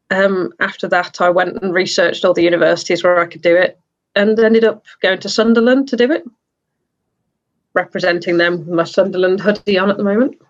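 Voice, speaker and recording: Woman at medium pitch, fairly quick pace, fairly even intonation, with big swings in loudness. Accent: English Midlands. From English Midlands. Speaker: glassblower and studio owner. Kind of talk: interview.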